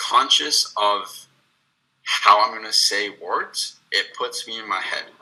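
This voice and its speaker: Speaking at a very slow pace, a man talks. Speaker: person who stutters. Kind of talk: panel discussion. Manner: occasional repetitions.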